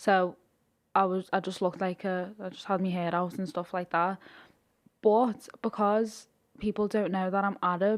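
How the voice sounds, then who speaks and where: At a moderate pace, a woman with a Liverpool accent speaks at medium pitch in a flat monotone, recorded very cleanly against a silent background. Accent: Scouse. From Liverpool, England. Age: 20s. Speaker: influencer. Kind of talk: casual chat.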